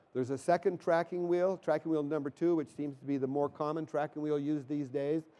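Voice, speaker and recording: A man's fairly high voice, dark and mellow in tone, at a fairly quick pace. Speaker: product presenter at trade show. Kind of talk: technical presentation. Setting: demo stage at trade show. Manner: fast.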